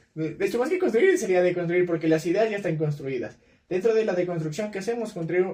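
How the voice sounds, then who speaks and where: The man speaks at a high pitch with a dark, mellow tone and ordinary pitch variation. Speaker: podcast host. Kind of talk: casual chat. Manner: fast.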